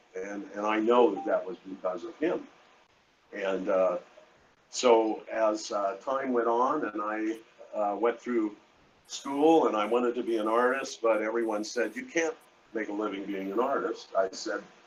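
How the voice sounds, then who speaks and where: Noticeable background noise sits behind a speaker with a General American accent who talks at a fairly slow pace with ordinary pitch variation. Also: man, medium pitch for a man. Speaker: artist. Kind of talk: interview. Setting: live event. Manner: halting.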